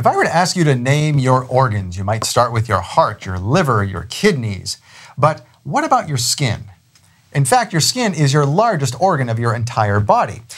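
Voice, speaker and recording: An upbeat, somewhat breathy male voice with very wide pitch swings. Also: medium pitch for a man, moderate pace. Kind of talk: interview with scripted intro; infomercial ad read. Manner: salesy, upbeat, hard-sell pitch, brisk; friendly, affable.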